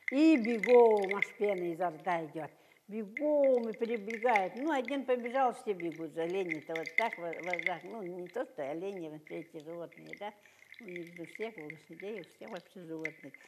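Against noticeable background noise, a woman talks at a moderate pace with lively intonation and big swings in loudness. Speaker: folk craftswoman. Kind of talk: storytelling. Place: hall.

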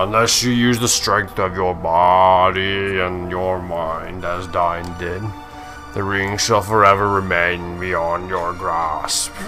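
Over clear music in the background, a man does a put-on character voice at a very deep, low pitch and a fairly slow pace. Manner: grand, trying to sound imposing.

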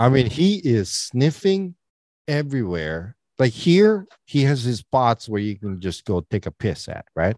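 Fairly slow delivery with very wide pitch swings, a quiet background and a dry sound with no echo. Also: man. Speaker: podcast co-host. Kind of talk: casual podcast storytelling. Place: home room. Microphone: studio mic.

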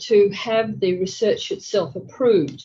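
A somewhat breathy woman's voice with a dark, mellow tone. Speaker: conference presenter. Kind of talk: lecture. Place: meeting room.

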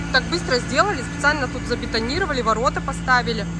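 Loud background noise sits under a woman speaking at a moderate pace, the sound dry with no echo. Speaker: mother vlogger. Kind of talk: casual vlog chat. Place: street. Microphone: phone near.

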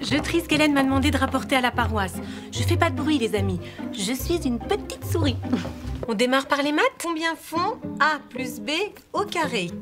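At a moderate pace and with long, frequent pauses, a woman speaks over clear music in the background. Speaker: actress. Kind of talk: acting demo reel scenes. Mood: cheerful, animated, comedic. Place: home room.

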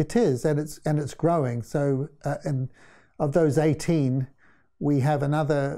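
With a New Zealand accent, a man speaks at a fairly slow pace in a dark, mellow tone. His intonation is fairly even, and the background is quiet. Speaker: interview guest. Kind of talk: interview. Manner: halting. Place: studio. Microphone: lapel.

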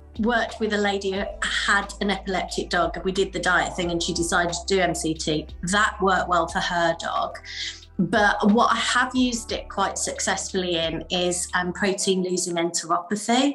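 A woman at a moderate pace, with faint music in the background. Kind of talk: interview answer. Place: home room.

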